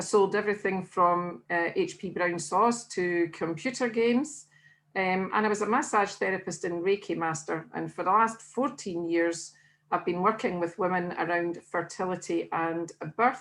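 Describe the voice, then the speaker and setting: Speaking with a Scottish accent, a woman has a medium pitch. Her pace is moderate and her pitch variation ordinary. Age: 60s. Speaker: weight-loss diet consultant. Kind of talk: interview.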